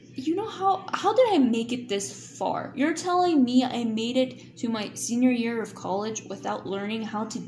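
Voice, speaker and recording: With music in the background and audible room echo, a woman with a non-native accent talks at a fairly slow pace in a fairly high pitch, her animated tone marked by very wide pitch swings. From Kansas. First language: not English. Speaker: YouTuber. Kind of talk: live stream chat.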